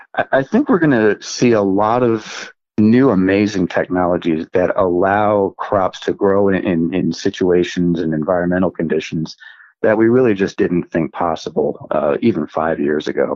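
At a moderate pace, a man with an American accent uses a normal speaking voice, fairly low in pitch and very even in loudness. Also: ordinary pitch variation. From US Northeast, central New Jersey. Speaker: genomics scientist. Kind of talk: interview. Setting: remote from home office.

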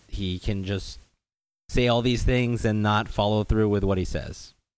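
With an American accent, a man speaks at a moderate pace in a fairly low voice. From Los Angeles, US. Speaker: restaurant founder and CEO. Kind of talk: casual podcast chat.

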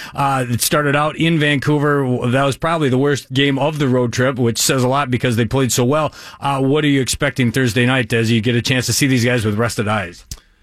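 Using an ordinary speaking voice, a man talks at a fairly quick pace and medium pitch with ordinary pitch variation. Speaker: team radio play-by-play announcer. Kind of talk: casual chat about hockey.

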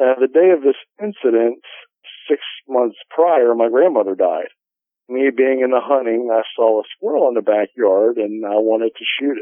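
This is a man with a normal speaking voice. His pitch is medium, with ordinary pitch variation, and his pace is moderate. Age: 40s. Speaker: outdoorsman and paranormal investigator. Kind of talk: interview testimony.

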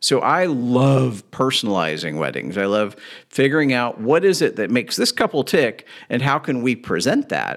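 Vocal fry marks this man's medium-pitched voice, which swings very widely in pitch. He keeps a moderate pace on a very clean recording with a silent background. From Kentucky (Louisville). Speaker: wedding DJ. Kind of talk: casual interview.

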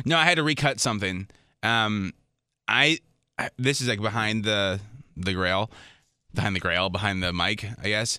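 In a very clean recording with a silent background, a bright, sharp voice proceeds at a moderate pace with ordinary pitch variation and long, frequent pauses. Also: man, fairly low pitch for a man. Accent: American. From Minnesota. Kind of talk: casual chat. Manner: mumbling.

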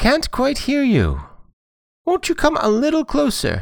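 At an extremely high pitch, a man puts on a character voice and talks at a moderate pace. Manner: pretending to be weak and hard of hearing.

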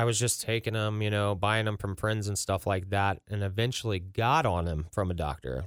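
On a very clean recording with a silent background, an unremarkable speaking voice with an American accent talks at a moderate pace with ordinary pitch variation. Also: man, fairly low pitch for a man. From Ross, Ohio (Cincinnati area). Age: 30s. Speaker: recovery nonprofit founder. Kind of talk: personal testimony in interview.

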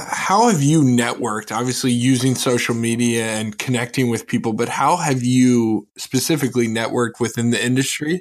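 A man speaks with a plain, everyday voice at medium pitch, fairly quick in pace and ordinary in pitch variation. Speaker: podcast co-host. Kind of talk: casual chat.

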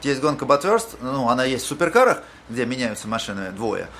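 A man talks at a very fast pace with lively intonation and a fairly high pitch. Background noise can be noticed. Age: 40s. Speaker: podcast host. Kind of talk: interview.

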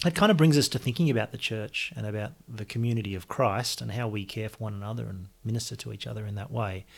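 With an Australian accent, a somewhat breathy man speaks very fast with hardly any pauses, his fairly low voice showing ordinary pitch variation on a very clean recording with a silent background. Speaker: podcast host. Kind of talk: scripted announcement; interview.

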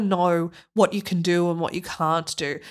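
A woman speaks with an Australian accent. Her tone is animated. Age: 30s. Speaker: tech director and former opera singer. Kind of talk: interview. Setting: remote call.

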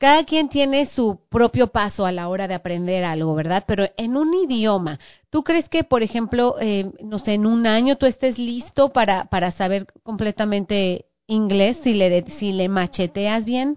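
The speech moves at a fairly slow pace with hardly any pauses and lively intonation. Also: woman, fairly high pitch for a woman. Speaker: podcast host. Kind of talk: casual chat.

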